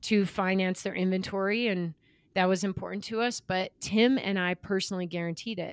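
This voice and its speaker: An ordinary speaking voice from a woman at a medium pitch with fairly even intonation, in a dry, close sound with no echo on a very clean recording with a silent background. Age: 40s. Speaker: former pro triathlete and entrepreneur. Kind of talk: interview.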